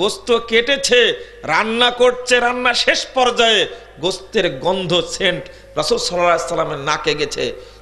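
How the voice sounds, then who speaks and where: Both noticeable background noise and audible room echo surround a man as he speaks. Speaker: Islamic preacher. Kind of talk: sermon. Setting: religious gathering with audience. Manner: animated.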